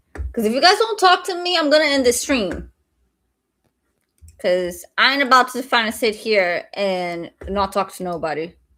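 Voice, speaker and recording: Very wide pitch swings mark a bright, sharp voice moving at a moderate pace on a very clean recording with a silent background. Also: woman, fairly high pitch for a woman. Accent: slight Brazilian. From Brazil. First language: Portuguese. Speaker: day trader streamer. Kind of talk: live stream chat. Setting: live stream.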